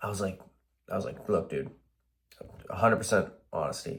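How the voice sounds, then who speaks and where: The man's delivery is fairly quick. He has an American accent. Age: 20s. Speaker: warehouse worker vlogger. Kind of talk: casual vlog monologue. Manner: halting.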